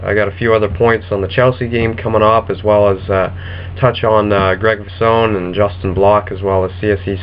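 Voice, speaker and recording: Over noticeable background noise, a man with a fairly low voice speaks at a moderate pace with fairly even intonation. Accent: American. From US, New Jersey. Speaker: football vlogger. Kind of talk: casual vlog monologue. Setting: webcam recording. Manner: hesitant, many fillers.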